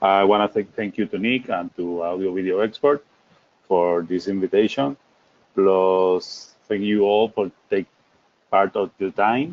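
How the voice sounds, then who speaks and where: A man with a Puerto Rican accent speaks at a fairly slow pace, his fairly low pitch moving with ordinary variation. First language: Spanish. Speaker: technical presenter. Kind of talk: webinar presentation.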